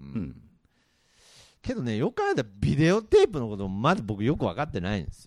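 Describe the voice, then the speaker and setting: Fairly quick pace from a man, his loudness swinging widely. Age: 40s. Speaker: podcast host. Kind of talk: casual chat.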